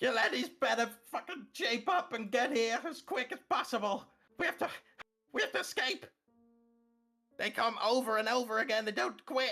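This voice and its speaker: Shouting in a put-on character voice with a fairly high pitch, the speaker moves at a moderate pace with long, frequent pauses while faint music plays in the background. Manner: screaming, urgent.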